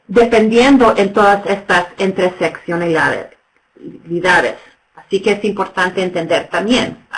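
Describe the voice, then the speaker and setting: Long, frequent pauses break up a woman's fairly slow speech, which has medium pitch and ordinary pitch variation. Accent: English. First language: English (speaking Spanish). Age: 50s. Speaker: nonprofit executive director. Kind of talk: webinar presentation. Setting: webinar. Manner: halting, many fillers.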